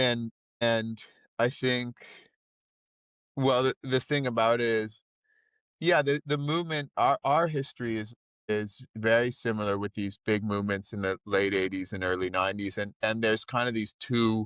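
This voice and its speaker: Here a man with a normal speaking voice talks at medium pitch and a moderate pace, with ordinary pitch variation. The sound is dry and close with no echo, over a quiet background. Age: 30s. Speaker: teacher and forest protester. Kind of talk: podcast interview answer. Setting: in a car at protest camp.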